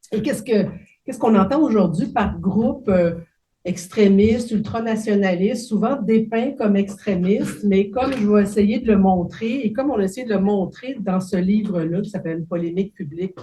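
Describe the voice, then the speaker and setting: A woman's somewhat breathy, dark and mellow voice at medium pitch, ordinary pitch variation, moderate pace and audible room echo. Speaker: professor. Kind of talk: lecture. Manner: hesitant, many fillers.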